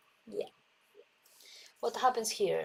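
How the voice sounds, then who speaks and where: A woman is speaking. She has a Spanish accent. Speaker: calligraphy instructor. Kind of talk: live stream tutorial. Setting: live stream. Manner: halting.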